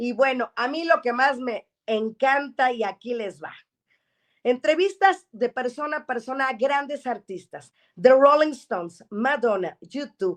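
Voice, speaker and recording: Loudness rises and falls sharply. The pace is fairly slow, with lively intonation. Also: woman, high pitch for a woman. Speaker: radio show host. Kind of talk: program host introducing a guest.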